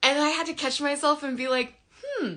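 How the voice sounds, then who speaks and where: The voice is raised and projected. Its pace is fairly slow. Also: woman. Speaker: sleep and parenting coach. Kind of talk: live Q&A monologue. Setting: livestream.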